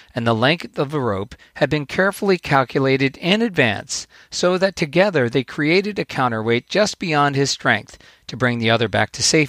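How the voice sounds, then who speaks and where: A man with an unremarkable speaking voice talks at a fairly high pitch and moderate pace with lively intonation, on a very clean recording with a silent background. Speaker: podcast host, author and coach. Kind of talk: storytelling fable reading aloud. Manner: earnest, warm, formal.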